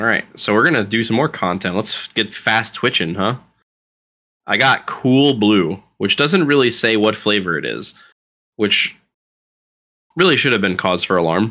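A man with an American accent, fairly low pitch and a bright, sharp tone, lively intonation at a moderate pace with long, frequent pauses, on a very clean recording with a silent background. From Florida. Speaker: podcast co-host. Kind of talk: casual chat. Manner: comes across as arrogant.

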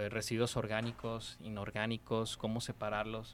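Here a man with a plain, everyday voice speaks at a medium pitch and fairly slow pace on a very clean recording with a silent background. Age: young. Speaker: eco festival organizer. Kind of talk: interview.

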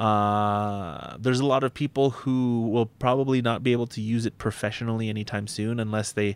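A man with a Canadian accent speaks at a moderate pace in an ordinary speaking voice, fairly low in pitch with fairly even intonation, on a very clean recording with a silent background. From Filipino Canadian, Calgary. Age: 30s. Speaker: podcast host. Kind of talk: casual chat.

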